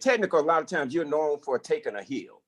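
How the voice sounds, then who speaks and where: Recorded with a dry, close sound and no echo, a man talks with an American accent. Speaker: corporate executive. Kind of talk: lecture Q&A on video call. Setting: video call. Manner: halting, many repetitions and fillers.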